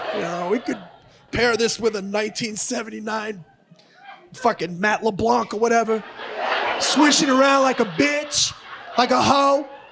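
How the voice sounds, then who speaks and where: This man's voice is extremely high, with ordinary pitch variation and a moderate pace broken by long, frequent pauses. Noticeable background noise runs underneath. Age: 50s. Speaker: comedian. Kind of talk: stand-up. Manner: aggressive-sounding, forceful; halting, self-correcting.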